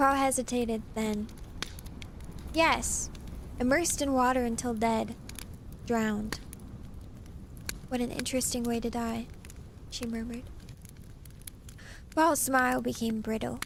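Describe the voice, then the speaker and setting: A fairly high-pitched woman talks at a fairly slow pace, with fairly even intonation and long, frequent pauses. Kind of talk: audiobook reading. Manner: soft-spoken.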